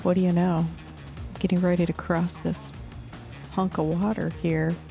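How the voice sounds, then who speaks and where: Music in the background beneath a woman's voice at a moderate pace. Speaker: gameplay commentator. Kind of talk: video game commentary. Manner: wry, humorous.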